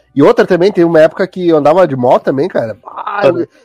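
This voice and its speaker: Over music in the background, a man speaks with lively intonation in a dry, close sound with no echo. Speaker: podcast host. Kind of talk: casual chat.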